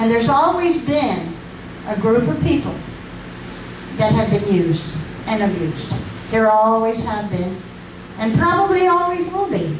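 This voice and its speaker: Over noticeable background noise and audible room echo, a woman speaks at a moderate pace with a fairly high pitch, very wide pitch swings and long, frequent pauses. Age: 80s+. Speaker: community activist. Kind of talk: speech to an audience.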